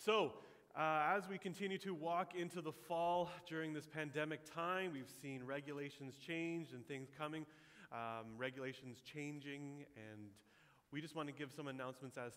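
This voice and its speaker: At a moderate pace, the pitch varies in an ordinary way. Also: man. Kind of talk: church announcements. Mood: warm, upbeat. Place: church.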